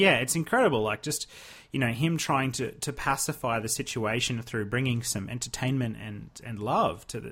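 A man with an Australian accent talks at a moderate pace with ordinary pitch variation. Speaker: podcast co-host. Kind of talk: casual chat.

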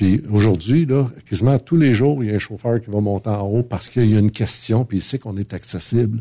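With ordinary pitch variation, a man speaks in a somewhat breathy voice with a dark, mellow tone. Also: fairly low pitch for a man, fairly quick pace. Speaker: trucking company manager. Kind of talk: casual chat. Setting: studio.

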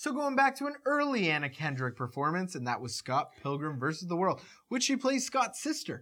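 In a very clean recording with a silent background, the words come at a fairly quick pace. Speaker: podcast host. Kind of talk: casual chat.

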